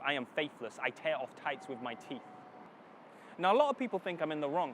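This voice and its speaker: Speaking with a Northern English accent, a man with a fairly high voice moves at a fairly quick pace with very wide pitch swings over noticeable background noise. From Northern England. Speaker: spoken word poet. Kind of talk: spoken word poetry performance. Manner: dramatic.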